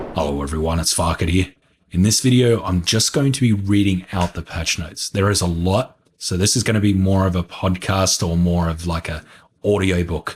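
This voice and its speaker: Somewhat breathy speech at a moderate pace, ordinary pitch variation, a very clean recording and a silent background. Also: man, very deep, low pitch for a man. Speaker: gaming youtuber. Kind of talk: reading aloud.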